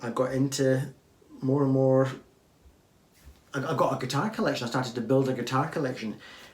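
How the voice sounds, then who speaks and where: Amid noticeable background noise, a man talks fairly quickly with fairly even intonation but takes long, frequent pauses. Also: medium pitch for a man. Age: old. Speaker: guitar YouTuber. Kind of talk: viewer Q&A talk with demonstration. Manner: casual, halting.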